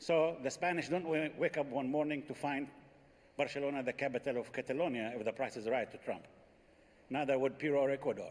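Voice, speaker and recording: A man with an Arabic accent talks at a very fast pace, his fairly high pitch held in fairly even intonation. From Palestine (Jericho). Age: 60s. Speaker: Palestinian politician. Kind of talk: panel debate.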